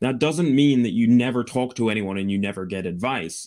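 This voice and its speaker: Here is a man with a Scottish accent. His pitch varies in an ordinary way. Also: very clean recording, silent background. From Scotland. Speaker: Amazon seller and business broker. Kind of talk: interview.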